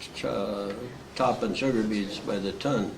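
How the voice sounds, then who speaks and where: Over noticeable background noise and audible room echo, a man with a Wisconsin accent talks at a moderate pace. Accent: Upper Midwest US (Wisconsin). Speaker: war veteran. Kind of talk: oral history interview. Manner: halting, frequent uh fillers.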